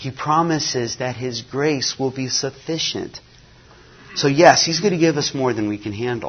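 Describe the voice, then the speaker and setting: In a normal speaking voice, a man keeps to a medium pitch and a moderate pace, his pitch varying in an ordinary way. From US (missionary kid born in Nigeria). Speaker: mission agency staff, former missionary. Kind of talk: conference talk. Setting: conference breakout session.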